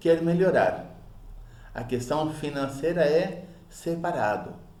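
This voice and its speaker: Speaking very slowly, a man's words carry an audible echo from the room. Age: 50s. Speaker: public speaking teacher. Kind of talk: lecture. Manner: halting, repeats syllables.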